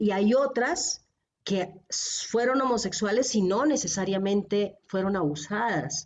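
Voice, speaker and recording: At a very slow pace, a woman with medium pitch speaks in very even loudness and lively intonation. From Colombia. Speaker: theologian. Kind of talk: podcast interview answer.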